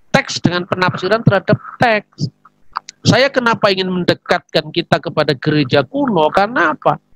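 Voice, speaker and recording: With a strong Javanese accent, a man speaks in a high pitch with lively intonation, recorded dry and close with no echo. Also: moderate pace. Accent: strong Javanese accent in Indonesian. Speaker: theologian. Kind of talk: religious teaching talk. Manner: conversational, with fillers.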